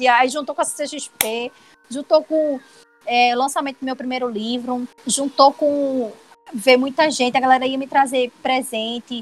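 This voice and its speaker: Fairly slow and with fairly even intonation, a woman speaks in a high pitch. Background noise is noticeable. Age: 20s. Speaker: illustrator and web comic artist. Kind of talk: casual interview chat.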